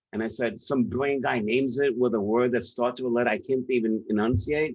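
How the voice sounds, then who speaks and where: A man talks in a New York accent. His pitch sits in the medium range. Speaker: professional speaker.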